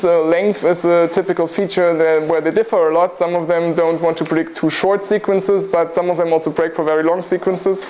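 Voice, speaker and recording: There is noticeable background noise behind this male voice. He speaks at a high pitch for a man, in a flat monotone. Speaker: university lecturer. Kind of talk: lecture. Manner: fast.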